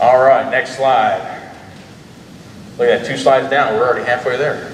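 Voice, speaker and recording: The speaker is a man with an average speed. Clear background noise can be heard. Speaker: drone company owner presenting. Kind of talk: conference presentation. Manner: loud.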